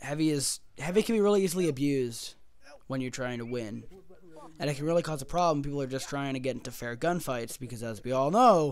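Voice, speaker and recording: A man talking at a very fast pace, fairly high-pitched, with ordinary pitch variation. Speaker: gaming video creator. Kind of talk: casual commentary video. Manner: animated.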